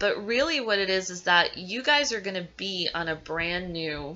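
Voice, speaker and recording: A woman puts on a raspy character voice at a medium pitch. Her intonation is lively and her pace moderate. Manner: stuttering.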